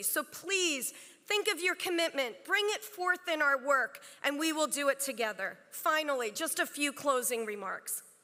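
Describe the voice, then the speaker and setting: Raised and projected, a woman's high-pitched voice carries a bright, sharp tone. Her intonation is lively and her pace moderate. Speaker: bar association chancellor. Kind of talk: formal speech. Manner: loud.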